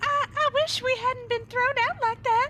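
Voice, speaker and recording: A woman uses a squeaky, put-on character voice at an extremely high pitch, speaking at a fairly slow pace with fairly even intonation over light background noise. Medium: game stream.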